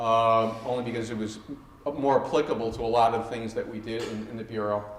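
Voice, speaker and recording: A man at a fairly quick pace and medium pitch, with audible room echo and noticeable background noise. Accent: New York. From New York City, Queens. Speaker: former FBI hostage negotiator. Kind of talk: talk to students. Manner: animated; halting.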